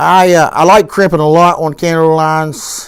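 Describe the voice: At a moderate pace, a man speaks in a fairly high pitch with little pitch movement. His tone is clear and smooth.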